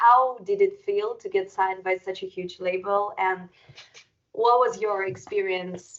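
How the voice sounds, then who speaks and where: A woman's words come at a fairly slow pace. She speaks with a non-native accent. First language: not English. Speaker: metal band musician and interviewer. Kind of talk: casual interview conversation.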